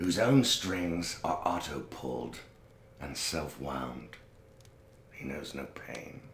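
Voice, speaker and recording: Over light background noise and audible room echo, a man with a very deep, low pitch speaks very slowly. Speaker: actor in a drama scene. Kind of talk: theatrical declamation. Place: home room.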